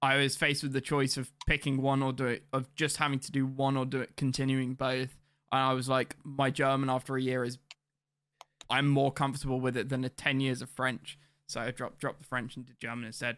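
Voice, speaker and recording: A man speaks in a British accent at a fairly quick pace. His loudness swings a lot. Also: medium pitch for a man. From England. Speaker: gaming streamer. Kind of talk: live stream commentary. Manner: animated.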